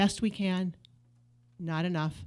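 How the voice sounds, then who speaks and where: A woman at a moderate pace and medium pitch, her intonation fairly even, on a very clean recording with a silent background. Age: 60s. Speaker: city council member. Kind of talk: council meeting report. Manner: halting, many fillers and restarts.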